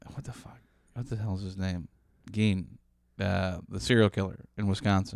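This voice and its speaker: In an American accent, the speaker goes at a moderate pace with ordinary pitch variation, long and frequent pauses, and big swings in loudness. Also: man, fairly low pitch for a man. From Chicago. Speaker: comedian and podcast producer. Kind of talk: casual chat. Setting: studio.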